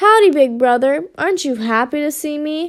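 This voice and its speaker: A woman puts on a squeaky character voice, pitched high with lively intonation. She keeps a moderate pace. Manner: cheerful, teasing.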